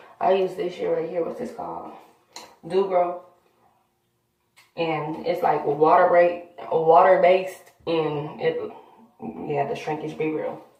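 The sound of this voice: In a room with strong echo, a woman speaks slowly at a low pitch with fairly even intonation, leaving long, frequent pauses.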